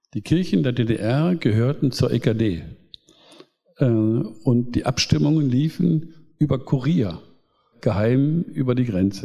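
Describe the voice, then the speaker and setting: Very slowly, a man speaks at a medium pitch with long, frequent pauses and lively intonation. His tone is dark and mellow, and somewhat breathy. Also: very even loudness. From East Germany. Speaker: pastor and politician. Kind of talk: public talk.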